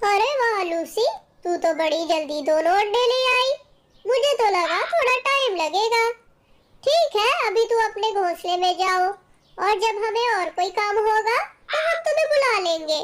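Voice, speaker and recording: Pitched extremely high, a cartoonish character voice speaks. Its tempo is moderate. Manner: domineering, menacing.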